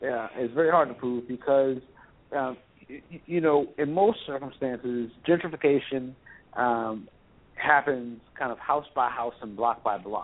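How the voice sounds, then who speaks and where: An unremarkable speaking voice with ordinary pitch variation shows big swings in loudness. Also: man, medium pitch for a man, fairly slow pace. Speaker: housing rights advocate. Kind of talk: radio interview.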